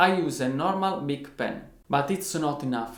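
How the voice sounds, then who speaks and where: A man speaks at a fairly high pitch. Audible room echo and noticeable background noise accompany him. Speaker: guitarist, online music teacher. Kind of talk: tutorial. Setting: at home.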